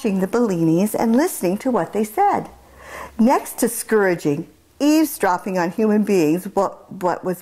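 The speaker reads aloud in a natural voice, and the intonation rises and falls in a lively way.

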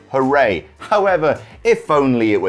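A man speaks at a fairly slow pace, with faint music in the background. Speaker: show host. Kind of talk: game rules explanation to camera. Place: studio.

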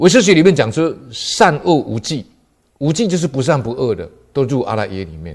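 A man talks fairly quickly at a fairly high pitch, with vocal fry, very wide pitch swings and big swings in loudness. The background is quiet. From Taiwan. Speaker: police officer and Buddhist lecturer; lay Buddhist storyteller. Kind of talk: lecture; Buddhist talk telling a story. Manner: frequent filler particles. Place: studio.

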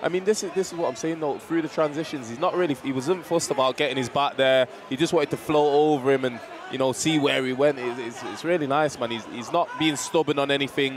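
With noticeable background noise and a dry sound with no echo, a man talks at a very fast pace with ordinary pitch variation. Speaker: MMA co-commentator. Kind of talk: live commentary. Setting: live event cageside. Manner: excitable. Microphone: headset.

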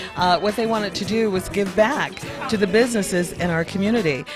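Clear music plays behind a woman talking at a fairly quick pace, and the sound is dry with no echo. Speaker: radio show co-host. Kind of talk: interview answer. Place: hall. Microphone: handheld.

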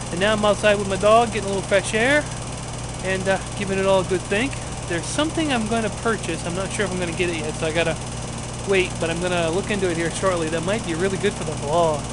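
Over loud background noise, a man talks at a very fast pace with ordinary pitch variation and a dry sound with no echo. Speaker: vlogger. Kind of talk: casual vlog chat. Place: garden. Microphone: phone near.

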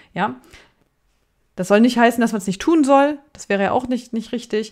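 A woman speaks with ordinary pitch variation. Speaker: editor and writing coach. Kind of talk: tutorial. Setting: pre-recorded video. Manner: hesitant.

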